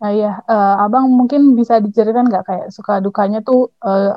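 Her voice is a plain, everyday voice, pitched in the medium range. She talks at a moderate speed, and her intonation stays fairly even. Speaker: student podcast host. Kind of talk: casual interview chat.

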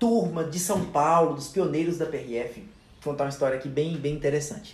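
A man talks at a moderate speed, with noticeable background noise behind him. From Federal District of Brazil (Ceilândia/Taguatinga). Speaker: dentist and course instructor. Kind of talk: casual chat. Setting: in person, drinking wine. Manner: talkative.

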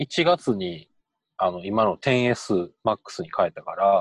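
Dry, close, and free of echo against a quiet background, the voice speaks very slowly in a Kansai accent with very wide pitch swings. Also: man. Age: 30s. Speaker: education professional, co-host. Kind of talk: casual chat.

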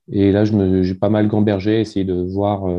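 Very slowly and in a flat monotone, a man talks with a very deep, low pitch. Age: 50s. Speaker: climate workshop facilitator, former engineer. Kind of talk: interview testimony. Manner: halting, with many hesitations.

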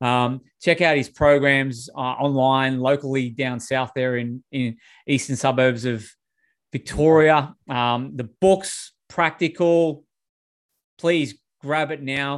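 A man with an Australian accent talks at a very slow pace. His medium pitch carries fairly even intonation. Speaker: podcast host, coach. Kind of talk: podcast interview. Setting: video call. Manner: casual, filler-heavy.

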